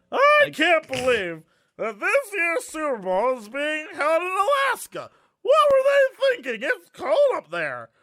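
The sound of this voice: Someone does a high-pitched, put-on character voice at a fairly slow pace.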